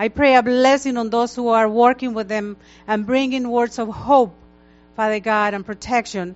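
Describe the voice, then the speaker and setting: A woman's unremarkable speaking voice, fairly high in pitch, with fairly even intonation at a moderate pace. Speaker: church leader. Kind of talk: prayer. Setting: church.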